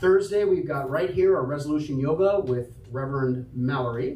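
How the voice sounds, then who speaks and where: A man with a fairly high pitch speaks at a moderate pace with ordinary pitch variation, with audible room echo and noticeable background noise. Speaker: church announcements leader. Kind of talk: church announcements. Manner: loud; casual. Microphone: microphone having issues.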